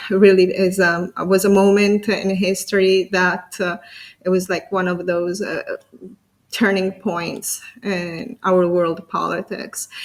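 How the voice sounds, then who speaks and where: The speaker has an Italian accent and fairly even intonation. The pace is very slow. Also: woman. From Italy. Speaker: interview show host. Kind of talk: interview. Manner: halting.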